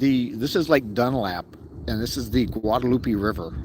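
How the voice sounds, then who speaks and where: A man with an American accent speaks at medium pitch and a moderate pace. His pitch varies in an ordinary way over noticeable background noise. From Texas. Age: 60s. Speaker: fishing livestreamer. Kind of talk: live outdoor commentary. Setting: outdoors in a kayak on a lake. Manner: casual, halting.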